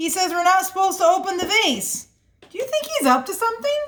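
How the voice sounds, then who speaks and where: A woman does a put-on character voice, squeaky and extremely high-pitched with very wide pitch swings. She talks at a fairly quick pace with big swings in loudness. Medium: read story. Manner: sassy, defensive.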